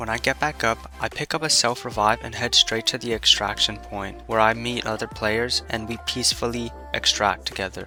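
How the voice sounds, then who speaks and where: Over music in the background, a man speaks at a moderate pace with medium pitch and lively intonation. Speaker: gaming YouTuber. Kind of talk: gameplay video narration. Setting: home recording, rough audio quality.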